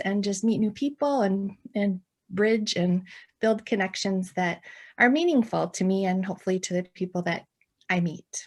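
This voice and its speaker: Somewhat breathy, a woman with an American accent speaks at a fairly slow pace with ordinary pitch variation on a very clean recording, silent background. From central Wisconsin. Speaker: ministry founder and pastor's wife. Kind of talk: podcast interview.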